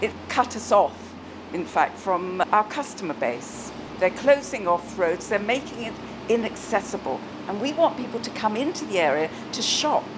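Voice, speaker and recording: Against noticeable background noise, the voice moves at a moderate pace with very wide pitch swings. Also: woman, fairly high pitch for a woman. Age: 70s. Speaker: shop owner. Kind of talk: interview testimony.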